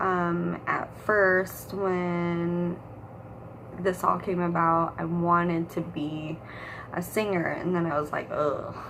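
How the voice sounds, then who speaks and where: In a quiet voice with an American accent, a woman speaks at a very slow pace and a fairly low pitch, her intonation monotone and flat, with audible room echo. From San Diego and Michigan, US. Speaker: aspiring actress vlogger. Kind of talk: casual vlog monologue. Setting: at home.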